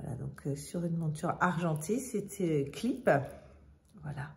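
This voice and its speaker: This woman has a fairly low pitch, a dark, mellow tone and a somewhat breathy quality, with ordinary pitch variation. She speaks at a fairly slow pace, and audible room echo can be heard. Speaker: fashion vlogger. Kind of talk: casual product show-and-tell. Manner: hesitant, many fillers.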